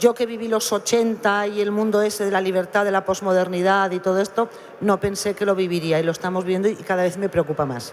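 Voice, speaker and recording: Noticeable background noise sits behind this woman. Her pitch is medium. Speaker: novelist. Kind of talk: panel discussion.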